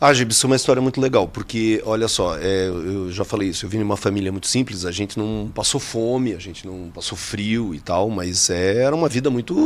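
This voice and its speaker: A man with a Santa Catarina accent and a fairly low pitch, at a fairly quick pace with hardly any pauses and ordinary pitch variation, over noticeable background noise. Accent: Santa Catarina accent, still noticeable. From Joinville, Santa Catarina, Brazil. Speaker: geography teacher. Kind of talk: casual interview chat. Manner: halting, many fillers.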